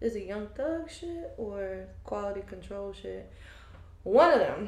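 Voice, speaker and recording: A woman's voice swings very widely in pitch amid noticeable background noise and audible room echo. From US South, Fayetteville, North Carolina. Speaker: aspiring podcaster. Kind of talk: casual chat.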